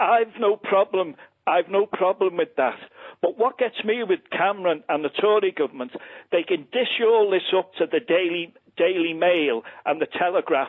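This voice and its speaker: A man's high-pitched voice in a Liverpool accent, moderate in pace, very even in loudness and ordinary in pitch variation. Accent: Scouse (Liverpool). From Liverpool, England. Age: 60s. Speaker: caller. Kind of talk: phone-in call. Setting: phone call. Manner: passionate, animated.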